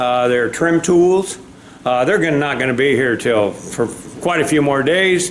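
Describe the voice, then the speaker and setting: Noticeable background noise and audible room echo fill this recording. The man talks at a moderate pace with very wide pitch swings. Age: 70s. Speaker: DIY vehicle vlogger. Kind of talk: casual how-to vlog. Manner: casual, hesitant with fillers.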